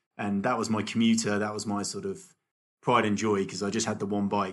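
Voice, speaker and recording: Speaking with a British accent, this man has a fairly low pitch. His pace is fairly quick. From UK. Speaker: race organiser. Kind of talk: casual chat.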